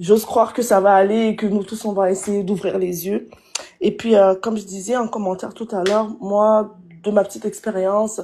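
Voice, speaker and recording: A woman's medium-pitched voice stays monotone and flat in intonation while moving at a moderate pace. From Congo. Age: young. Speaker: live stream viewer calling in. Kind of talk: casual chat.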